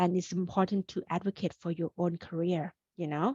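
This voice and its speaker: A somewhat breathy woman with a Thai accent speaks at a medium pitch and moderate pace, the sound dry and close with no echo. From Thailand, Bangkok. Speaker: career coach. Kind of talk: webinar presentation. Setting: video call. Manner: animated.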